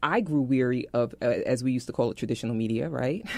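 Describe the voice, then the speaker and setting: A woman with a New York accent speaks in a very deep, low pitch. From New York, Brooklyn. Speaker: tech entrepreneur, former TV and film producer. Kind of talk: radio interview. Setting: radio show. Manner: fast.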